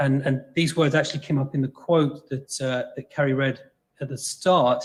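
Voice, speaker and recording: A somewhat breathy man's voice, fairly high in pitch, with an English accent and a moderate pace. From England. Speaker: exercise scientist. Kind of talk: lecture. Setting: video call.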